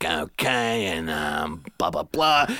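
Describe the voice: In a put-on character voice, a man speaks with a raspy, very deep, low pitch that swings very widely.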